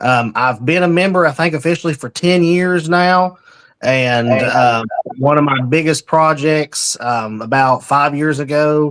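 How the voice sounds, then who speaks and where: Speaking with an East Tennessee accent, a man has a fairly high pitch and ordinary pitch variation. His pace is fairly slow. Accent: Southern US, East Tennessee. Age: 30s. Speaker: heritage group local leader. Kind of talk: interview. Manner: halting with fillers.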